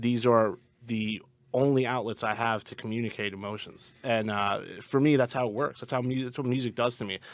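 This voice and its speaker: A man with an American accent, medium-pitched, at a fairly quick clip, with fairly even intonation. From US Northeast, Long Island. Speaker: rock band musician. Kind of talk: casual interview chat. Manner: halting, repeats words.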